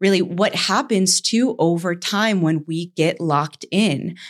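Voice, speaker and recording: A woman with an American accent and a fairly low pitch speaks in a normal speaking voice at a fairly slow pace, in a very clean recording with a silent background. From US Northeast (Saratoga). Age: 30s. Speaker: podcast host. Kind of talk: casual chat.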